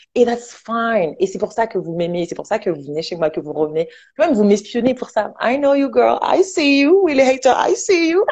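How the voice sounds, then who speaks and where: Animated in tone, a woman speaks at a fairly high pitch with very wide pitch swings. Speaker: online entrepreneur and motivational speaker. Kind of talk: casual talk show chat. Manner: fast.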